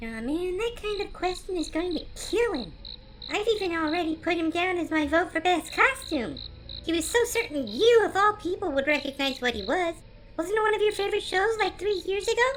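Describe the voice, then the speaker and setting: Over clear background noise, a woman uses a squeaky, put-on character voice at an extremely high pitch and a fairly quick pace. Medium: audio drama.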